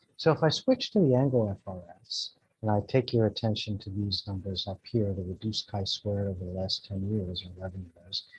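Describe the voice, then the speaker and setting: This man talks at a fairly quick pace with hardly any pauses, his fairly low voice somewhat breathy and swinging widely in loudness. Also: ordinary pitch variation. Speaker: atmospheric scientist. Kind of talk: conference talk.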